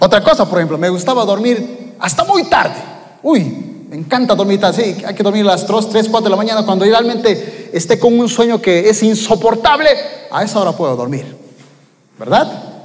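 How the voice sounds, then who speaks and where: Over noticeable background noise and with audible room echo, a man speaks in a high pitch with an animated tone and lively intonation. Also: moderate pace. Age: 30s. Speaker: preacher. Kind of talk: sermon.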